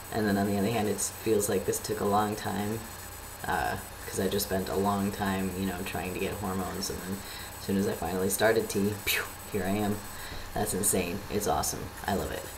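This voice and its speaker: A man with a fairly low pitch speaks in a monotone, flat intonation at a fairly quick pace, with noticeable background noise and audible room echo. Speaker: vlogger. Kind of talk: casual video update. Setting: home webcam recording. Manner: casual, hesitant with many fillers. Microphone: poor built-in laptop webcam.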